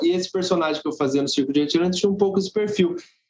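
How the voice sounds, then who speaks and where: The man speaks with a high pitch. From Brazil, Guarulhos (São Paulo). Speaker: circus actor and theatre teacher. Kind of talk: interview chat.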